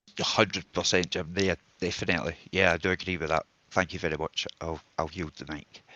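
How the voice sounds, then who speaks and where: A man with a strong Scottish accent, very deep and low in pitch, bright and sharp in tone, flat and monotone in intonation, at a fairly quick pace, in a dry, close sound with no echo. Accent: broad Scottish. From Scotland. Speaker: audience member. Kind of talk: live audio space discussion.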